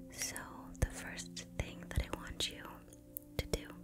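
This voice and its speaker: Music plays in the background as a soft-spoken woman talks very slowly in a gentle tone. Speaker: ASMR artist. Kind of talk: guided meditation for sleep. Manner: gentle, soft-spoken, slow. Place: home room. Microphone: studio mic.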